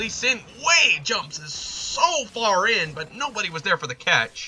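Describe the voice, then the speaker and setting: Over noticeable background noise, a man uses a raised, projected voice with very wide pitch swings. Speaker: esports caster. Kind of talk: live commentary. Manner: animated.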